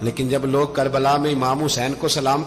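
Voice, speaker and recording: Music plays in the background as a man speaks in a dramatic tone. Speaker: Islamic scholar giving a sermon. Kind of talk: emotional religious sermon (bayan) telling a historical story. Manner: emotive, preaching, dramatic.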